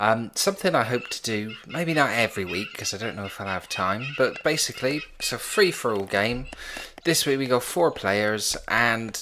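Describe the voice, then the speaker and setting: A medium-pitched male voice with lively intonation at a moderate pace, over noticeable background noise. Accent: Bristol. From England, Bristol. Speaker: game commentator. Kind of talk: live gameplay commentary. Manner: casual, hesitant with fillers.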